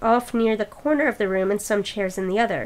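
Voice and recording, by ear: Natural voice, reading aloud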